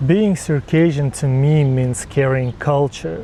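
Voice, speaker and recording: Noticeable background noise sits behind the speaker. He is a man with a fairly high pitch and ordinary pitch variation. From Jordan. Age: 20s. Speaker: university student. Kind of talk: interview testimony.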